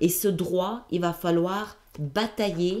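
This woman's voice sits fairly low in pitch. Its tone is dark and mellow. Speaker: tarot reader, video channel host. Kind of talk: intuitive tarot reading, monologue to camera. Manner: hesitant, many fillers and repetitions.

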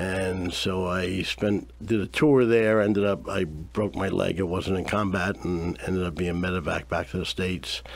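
A man's very deep, low voice at a moderate pace, with ordinary pitch variation and hardly any pauses. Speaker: Vietnam veteran and nonprofit founder. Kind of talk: radio interview. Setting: radio studio. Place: studio.

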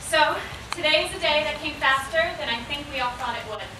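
A raised, projected voice carries through audible room echo and noticeable background noise. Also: woman. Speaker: graduating student speaker. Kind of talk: commencement speech. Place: tent.

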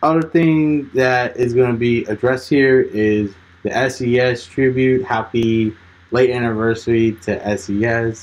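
A very slow voice with fairly even intonation. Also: man. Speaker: channel host. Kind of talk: casual vlog chat. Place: home room. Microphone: phone near.

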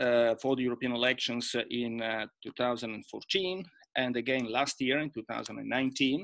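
Over a quiet background, the speaker talks at a very slow pace in an Italian accent. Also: man. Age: 50s. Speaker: EU official and former MEP. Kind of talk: panel presentation. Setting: video call. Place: home room. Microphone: webcam.

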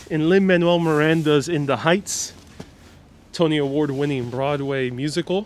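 The speech comes at a fairly slow pace in a dry sound with no echo. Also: man. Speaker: live stream tour guide. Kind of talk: walking tour commentary with viewer chat replies. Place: street. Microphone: lapel.

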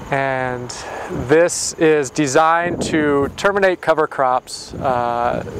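A man talks with ordinary pitch variation in a dry sound with no echo, with noticeable background noise. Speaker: presenter. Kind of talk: explanatory interview talk.

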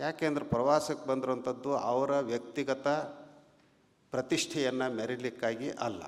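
A man's unremarkable speaking voice at a medium pitch, its intonation fairly even. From Karnataka, Haveri district (north Karnataka). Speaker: religious leader (swami). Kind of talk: public speech. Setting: stage at felicitation ceremony. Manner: measured, with frequent pauses.

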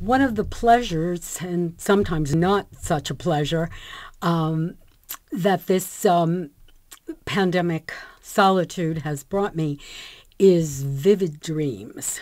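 A woman speaks at a very slow pace with long, frequent pauses. Her pitch is fairly low, and the background is quiet. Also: ordinary pitch variation. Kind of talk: personal storytelling to camera. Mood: warm, reflective, delighted.

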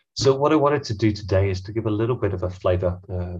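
Against a quiet background, a man talks at a fairly quick pace in a somewhat breathy voice with ordinary pitch variation. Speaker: head of data at tech company; presenter. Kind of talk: webinar presentation. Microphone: headset.

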